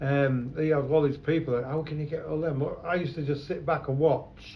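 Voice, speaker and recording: Somewhat breathy and fairly high in pitch, a man talks at a fairly quick pace with monotone, flat intonation. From London. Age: 70s. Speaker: photographer. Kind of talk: oral history interview. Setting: his shop.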